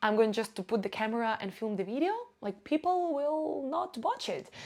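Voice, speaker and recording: Noticeable background noise sits behind a woman at a moderate pace. Her fairly high pitch moves in very wide swings. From Ukraine, Russian-speaking region. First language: Russian. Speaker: vlogger and marketing agency owner. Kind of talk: casual vlog monologue. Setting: filming alone to camera.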